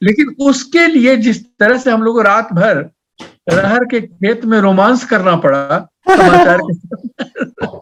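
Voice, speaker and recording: Speaking with a Bihar accent, a man uses a high pitch and lively intonation. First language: Maithili (speaking Hindi). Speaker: poet and writer. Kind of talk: interview. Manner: halting.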